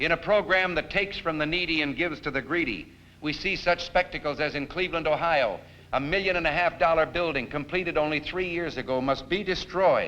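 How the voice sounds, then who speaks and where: A man with a fairly high pitch talks in a normal speaking voice at a fairly quick pace, keeping his intonation fairly even. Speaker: political speaker giving a televised campaign address. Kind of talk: televised political speech.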